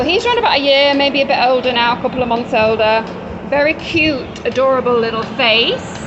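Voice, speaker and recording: A woman with an English accent speaks at a fairly quick pace in a high pitch. Noticeable background noise and audible room echo fill the recording. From England. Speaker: dog rescue worker. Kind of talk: casual video walkthrough. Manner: casual, conversational.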